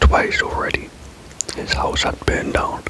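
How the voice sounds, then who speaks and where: A moderate-paced whisper amid noticeable background noise. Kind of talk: true crime story reading, with a self-corrected stumble. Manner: whispered, soft, lo-fi.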